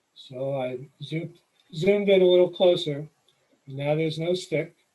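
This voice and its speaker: A man with an American accent talks at a moderate pace in a fairly high pitch, his dark, mellow tone showing ordinary pitch variation and big swings in loudness. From New York City. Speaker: nature photographer, presenter. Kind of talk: presentation. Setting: video call.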